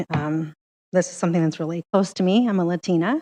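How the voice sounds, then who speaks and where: Against a quiet background, a woman's shaky, medium-pitched voice comes through with fairly even intonation and a dry, close sound with no echo. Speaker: public commenter, community organizer. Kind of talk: public comment at council meeting. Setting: council meeting.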